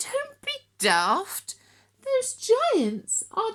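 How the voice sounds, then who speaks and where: Squeaky and at extremely high pitch, a woman does a put-on character voice. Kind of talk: bedtime story. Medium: read story.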